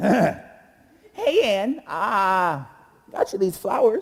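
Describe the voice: A female-sounding put-on character voice, squeaky and medium in pitch, talks at a very slow pace.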